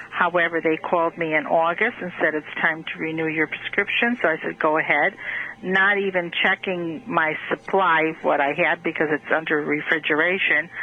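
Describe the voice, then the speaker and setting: Noticeable background noise sits behind a woman's voice. She speaks at a fairly low pitch with fairly even intonation. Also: moderate pace. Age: 60s. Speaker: caller. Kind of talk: phone-in question. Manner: halting.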